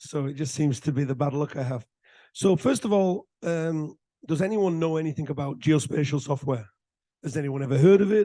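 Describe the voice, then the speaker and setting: A man's voice with a dark, mellow tone comes through over a quiet background. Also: fairly high pitch for a man, ordinary pitch variation. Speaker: tech company founder. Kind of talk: seminar talk. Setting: auditorium with audience. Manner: conversational.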